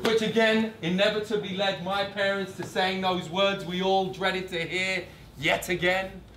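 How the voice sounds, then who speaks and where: A man talks at a high pitch with monotone, flat intonation amid noticeable background noise. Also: moderate pace. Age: 30s. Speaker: spoken word poet. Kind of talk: performance poetry reading. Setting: live venue.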